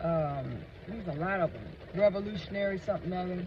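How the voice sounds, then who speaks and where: With noticeable background noise, a man talks at a moderate pace with ordinary pitch variation. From United States. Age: 60s. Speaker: vlogger. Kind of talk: casual monologue. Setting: in a car. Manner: animated.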